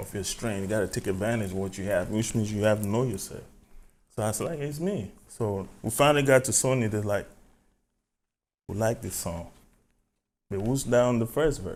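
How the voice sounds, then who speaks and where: A man with an African accent and a fairly low pitch talks at a moderate pace with ordinary pitch variation and long, frequent pauses. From Cameroon. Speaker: music artist. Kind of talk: podcast interview.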